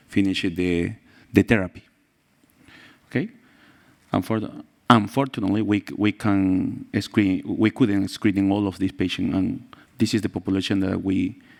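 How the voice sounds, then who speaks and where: With a Spanish accent, a man speaks at a fairly low pitch and a moderate pace, with fairly even intonation and long, frequent pauses. The recording is very clean, with a silent background. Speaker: pediatrician and researcher. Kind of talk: conference presentation. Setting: conference stage with audience. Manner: halting.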